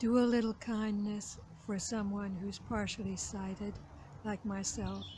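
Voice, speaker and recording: Room echo can be heard clearly. Through it, a woman talks at a very slow speed. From Canada. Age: 70s. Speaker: retired journalist, channel host. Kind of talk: casual talk to camera. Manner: halting with frequent fillers.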